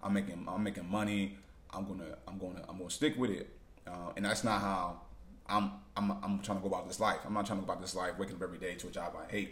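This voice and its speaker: At a very fast pace, a man with vocal fry and a fairly low pitch speaks with fairly even intonation in audible room echo. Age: 30s. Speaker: vlogger. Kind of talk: casual monologue. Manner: halting.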